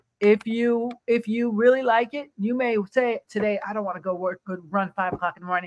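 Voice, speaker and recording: The speech runs at a fairly quick pace with hardly any pauses. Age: 50s. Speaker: talk show host. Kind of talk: casual interview. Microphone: echo on her end.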